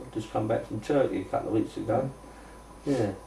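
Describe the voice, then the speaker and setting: A man speaks at a very fast pace. Audible room echo and noticeable background noise surround him. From South London, Rotherhithe/Bermondsey. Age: 70s. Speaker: interviewee, local resident. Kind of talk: casual interview reminiscence. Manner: chatty, colloquial.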